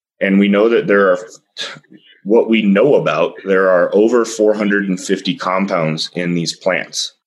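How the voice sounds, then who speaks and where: Speaking at a very slow pace, a man with an American accent keeps a fairly low pitch and fairly even intonation. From Texas. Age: 30s. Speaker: cannabis industry expert. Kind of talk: interview.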